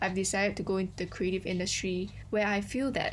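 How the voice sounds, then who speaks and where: At a fairly quick pace, a woman talks at a medium pitch with vocal fry. Audible room echo surrounds her voice. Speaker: podcast co-host. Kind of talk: casual chat.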